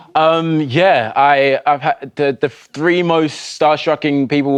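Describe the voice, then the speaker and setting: A man with a British accent at a fairly slow pace. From England. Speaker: actor. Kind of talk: TV interview.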